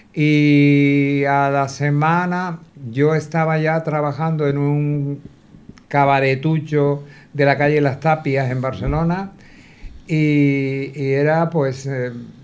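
A man's fairly high voice at a very slow pace, fairly even in intonation but with big swings in loudness. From Canary Islands. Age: 60s. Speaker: retired cabaret performer and choreographer. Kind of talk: interview.

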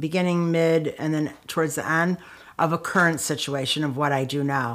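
On a very clean recording with a silent background, a woman with a Chicago accent speaks at a moderate pace with a fairly low pitch and ordinary pitch variation. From Chicago, US Midwest. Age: 60s. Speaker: author and anti-violence activist. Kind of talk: interview storytelling. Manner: casual, filler-heavy.

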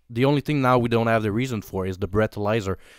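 On a very clean recording with a silent background, a man in a Quebec accent speaks with ordinary pitch variation. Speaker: police officer. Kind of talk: casual chat.

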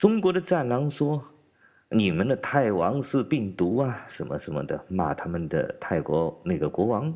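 A man with a medium pitch and a dark, mellow tone speaks at a fairly slow pace with vocal fry, very wide pitch swings and hardly any pauses, in a very clean recording with a silent background. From China. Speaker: political commentator podcaster. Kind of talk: commentary monologue.

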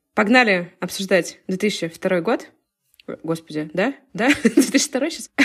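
Speaking at a very slow pace with long, frequent pauses, a woman uses a medium pitch, very wide pitch swings and a somewhat breathy tone. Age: 20s. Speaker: podcast co-host. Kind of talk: casual chat.

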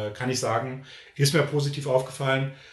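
A man speaks at a moderate pace in a medium pitch. Room echo is audible. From Berlin, Germany. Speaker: YouTuber. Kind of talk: casual interview. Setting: video recording, in person.

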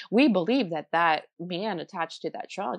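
Over a quiet background, a woman with vocal fry talks at a moderate pace in a fairly low pitch, her pitch varying in an ordinary way. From New Jersey. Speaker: tarot reader and ghost tour guide. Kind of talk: interview.

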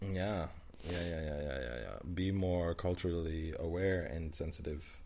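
Dark and mellow, a man's very deep, low voice moves at a fairly slow pace with fairly even intonation through audible room echo. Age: 20s. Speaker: podcast co-host. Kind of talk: casual chat.

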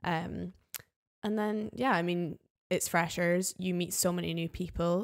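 With a Scottish Highland accent, the speaker talks at a fairly slow pace with fairly even intonation. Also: woman, fairly low pitch for a woman. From Scottish Highlands. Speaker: flatmate of the host. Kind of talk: casual chat.

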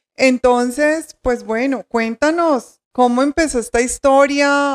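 A woman speaks with a high pitch and ordinary pitch variation. The sound is dry and close, with no echo. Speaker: podcast host, journalist and novelist. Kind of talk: interview hosting.

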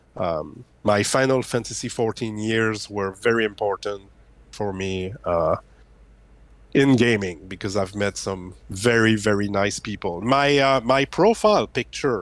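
In a French Canadian accent, a man speaks at a fairly slow pace with a fairly low pitch and ordinary pitch variation. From Quebec, Canada. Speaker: YouTuber. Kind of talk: casual interview.

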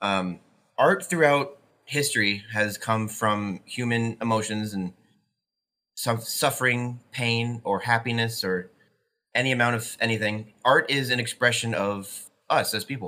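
The man speaks at a fairly slow pace with medium pitch. It is an unremarkable speaking voice. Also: ordinary pitch variation. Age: 20s. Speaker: college student. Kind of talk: casual conversation.

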